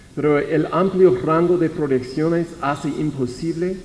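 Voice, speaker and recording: A man with an English accent and a fairly high pitch, speaking at a fairly slow pace amid audible room echo. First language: English (speaking Spanish). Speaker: researcher presenting at a conference. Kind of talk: conference presentation. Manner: halting, many repetitions and false starts.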